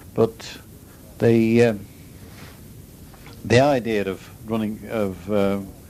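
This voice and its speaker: Very slow in pace, a man speaks at a fairly low pitch with fairly even intonation and a dark, mellow tone. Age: 70s. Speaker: interviewee recounting life history. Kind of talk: oral history interview. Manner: halting, many hesitations.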